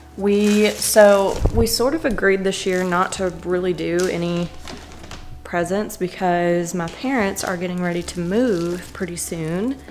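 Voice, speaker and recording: A woman with a medium-pitched voice speaks fairly slowly, her intonation fairly even. Noticeable background noise and audible room echo surround her. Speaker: vlogger. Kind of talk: casual vlog talk. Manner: chatty, filler-heavy.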